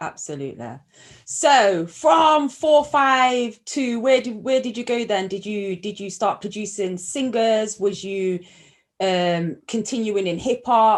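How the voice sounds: A woman with a Nottingham accent, medium pitch, lively intonation, and a slow pace. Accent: Nottingham, English Midlands.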